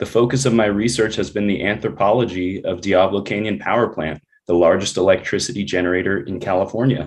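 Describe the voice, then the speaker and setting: A man's fairly low voice at a very fast pace, ordinary in pitch variation, with hardly any pauses. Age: 30s. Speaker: energy policy researcher, public commenter. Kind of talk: public comment. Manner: formal.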